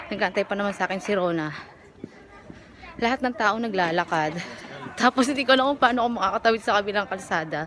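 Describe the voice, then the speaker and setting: A woman's very fast speech, broken by long, frequent pauses, over noticeable background noise. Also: medium pitch for a woman, lively intonation. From Philippines. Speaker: vlogger. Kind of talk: casual vlog chat. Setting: outdoors.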